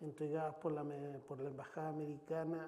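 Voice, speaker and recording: Audible room echo hangs around this speaker. He is a man with a fairly high pitch. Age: 60s. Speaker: foundation president, former political aide. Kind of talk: interview. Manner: halting with repetitions.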